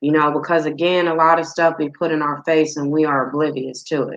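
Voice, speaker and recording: Against a quiet background, a woman speaks at a moderate pace with a very deep, low pitch. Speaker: podcast co-host. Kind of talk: casual chat. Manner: volume rises when passionate, sounds like yelling; animated.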